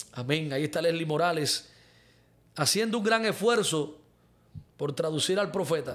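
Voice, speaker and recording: A man at a moderate pace, with ordinary pitch variation and long, frequent pauses. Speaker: pastor and prophet; preacher on live stream. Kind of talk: live-streamed sermon with prayer and viewer questions. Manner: fervent. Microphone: studio mic.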